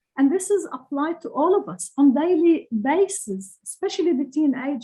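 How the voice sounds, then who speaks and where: With a Lebanese accent, a woman with a dark, mellow tone talks at a moderate pace using lively intonation. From Lebanon. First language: Arabic. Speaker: author. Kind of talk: interview. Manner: halting.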